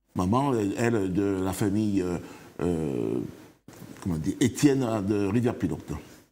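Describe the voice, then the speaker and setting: A man with a dark, mellow tone and fairly low pitch speaks at a moderate pace with lively intonation. He leaves long, frequent pauses, and the room echo is audible. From Martinique. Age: 60s. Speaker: author, interview guest. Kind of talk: TV interview. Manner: halting.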